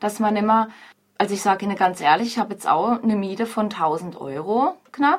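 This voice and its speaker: A woman talks at a fairly quick pace in a plain, everyday voice, medium in pitch with ordinary pitch variation. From Freiburg, southern Baden, Germany. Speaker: pub landlady. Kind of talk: radio interview.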